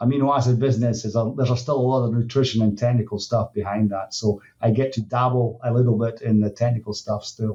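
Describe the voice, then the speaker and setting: Barely pausing, a man with a Scottish accent races at a very fast pace, his medium-pitched, somewhat breathy voice dark and mellow in tone, with monotone, flat intonation. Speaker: dairy nutrition industry executive. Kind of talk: podcast interview. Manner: halting, many fillers.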